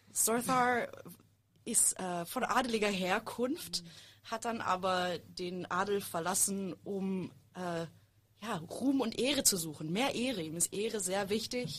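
A woman speaks at a very slow pace, her pitch medium and its variation ordinary. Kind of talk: casual chat.

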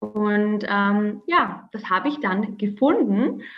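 A woman with ordinary pitch variation. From Austria, Vorarlberg near Swiss border. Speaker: entrepreneur and mother. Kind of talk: interview.

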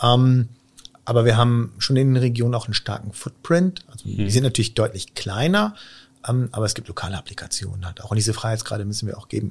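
Somewhat breathy and medium in pitch, a man talks at a very fast pace with ordinary pitch variation. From Israel. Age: 40s. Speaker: company IT executive. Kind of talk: podcast interview.

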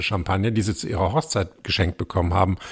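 A man's fairly low, somewhat breathy voice with ordinary pitch variation. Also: very clean recording, silent background. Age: 50s. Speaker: podcast host and journalist. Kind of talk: casual interview.

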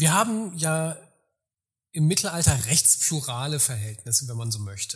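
Pitched fairly high, a man speaks with lively intonation at a fairly slow pace. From far west of Germany. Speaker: historian. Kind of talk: interview. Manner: formal.

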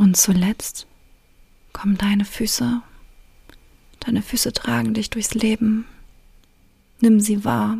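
A woman speaks at a very slow pace in a gentle, calm tone and a medium pitch, her intonation fairly even. Long pauses come often. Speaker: relationship coach and podcast host. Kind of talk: guided meditation. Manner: slow, calm, soothing, with long pauses; gentle, intimate, directly addressing the listener.

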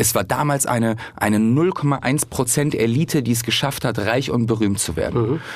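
With a normal speaking voice, a man of medium pitch talks at a fairly slow pace, with hardly any pauses, very even loudness and ordinary pitch variation. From Hamburg, northern Germany. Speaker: comedian. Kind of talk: casual chat.

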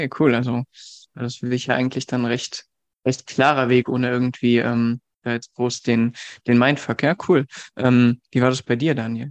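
A man speaks in a medium pitch at a moderate pace with long, frequent pauses and flat, monotone intonation. The sound is dry and close with no echo, and the background is quiet. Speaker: dating coach and co-host. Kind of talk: casual interview chat.

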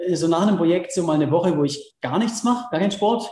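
The man has a high pitch with ordinary variation. Room echo is audible. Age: 30s. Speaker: extreme athlete and adventurer. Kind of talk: interview. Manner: hesitant, many fillers.

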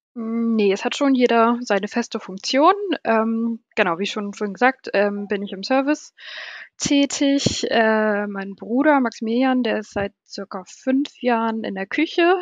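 A woman with a fairly high pitch speaks at a fairly slow pace, showing ordinary pitch variation. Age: 30s. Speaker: hotel service manager. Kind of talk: casual interview. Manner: hesitant, many fillers.

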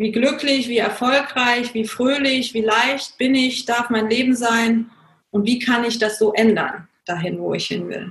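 Her pitch is high and her intonation fairly even. The woman speaks at a fairly slow pace. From Germany. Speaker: coach and consultant. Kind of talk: interview.

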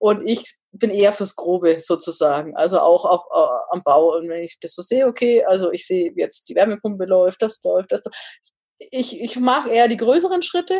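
Her medium pitch swinging very widely, a woman speaks in a dark, mellow tone. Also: moderate pace, big swings in loudness. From northern Bavaria. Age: 30s. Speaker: engineer and home builder. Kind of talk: casual interview.

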